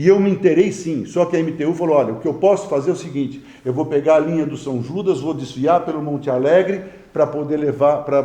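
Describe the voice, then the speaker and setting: Amid noticeable background noise and audible room echo, a man with a fairly high pitch talks at a fairly quick pace with ordinary pitch variation. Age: 60s. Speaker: mayor. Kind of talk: press conference. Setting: press conference with reporters. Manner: halting, frequent stammered repetitions.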